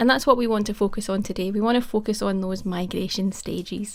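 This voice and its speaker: This woman talks at a fairly quick pace with a Scottish accent. Her pitch sits in the medium range and moves with ordinary variation. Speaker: cloud technology advocate. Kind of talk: conference presentation.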